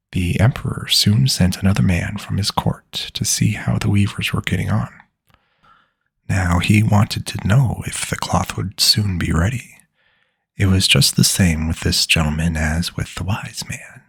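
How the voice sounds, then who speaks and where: A soft-spoken man with a very deep, low voice and vocal fry talks at a moderate pace with lively intonation. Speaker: ASMR storyteller. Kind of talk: bedtime story reading.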